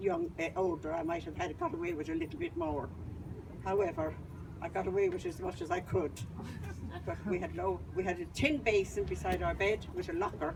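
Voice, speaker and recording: Speaking at a fairly quick pace, a woman talks in an Irish accent. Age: 80s+. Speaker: institution survivor. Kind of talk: testimony. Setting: outdoor rally.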